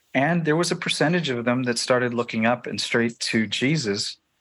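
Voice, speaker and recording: Against a quiet background, a man with a Canadian accent talks in a normal speaking voice at medium pitch, with ordinary pitch variation and a moderate pace. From Canada, Toronto. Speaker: filmmaker. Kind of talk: interview.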